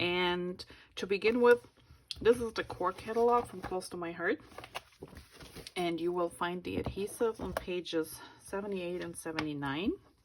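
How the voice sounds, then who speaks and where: Speech at a moderate pace with long, frequent pauses, ordinary pitch variation and big swings in loudness, over noticeable background noise. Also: woman, fairly low pitch for a woman. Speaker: crafting demonstrator. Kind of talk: tutorial.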